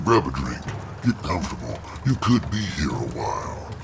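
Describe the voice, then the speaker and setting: Someone uses a put-on character voice at a moderate pace. Loud background noise runs underneath. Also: man, fairly low pitch for a man. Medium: read story. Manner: smooth, salesman-like.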